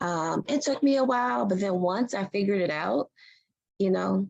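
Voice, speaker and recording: At a moderate pace, a woman with an American accent speaks with vocal fry and lively intonation. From US Mid-Atlantic, Prince George's County near Washington DC. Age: 40s. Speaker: physician assistant and professor. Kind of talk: Q&A talk. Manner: animated, repetitive emphasis.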